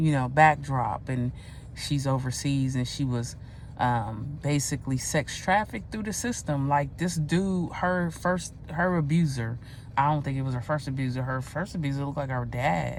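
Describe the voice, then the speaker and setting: A woman with a very deep, low voice, heard with audible room echo. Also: ordinary pitch variation, moderate pace. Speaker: video blogger. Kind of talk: casual monologue rant. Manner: halting, stuttering.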